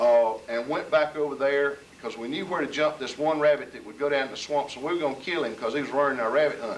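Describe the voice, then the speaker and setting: A man with a Southern US accent talks at a very fast pace with hardly any pauses, his pitch fairly high and his intonation fairly even. His loudness swings widely, and there is noticeable background noise. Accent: Southern US (Georgia). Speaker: local resident recalling history. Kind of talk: storytelling at community gathering.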